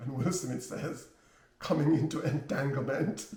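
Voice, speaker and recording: A man with a Jamaican accent and lively intonation. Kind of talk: personal life story, casual talk to camera.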